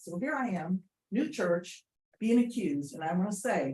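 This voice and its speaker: A woman speaks at a medium pitch with a dark, mellow tone and a somewhat breathy quality. Her intonation is lively. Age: 70s. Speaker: pastor. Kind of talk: public comment. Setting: public meeting.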